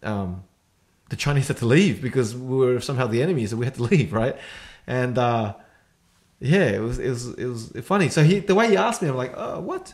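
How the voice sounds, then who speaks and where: Somewhat breathy, a man with an Australian accent speaks at a fairly quick pace and medium pitch, his intonation lively. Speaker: podcast co-host. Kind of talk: casual chat.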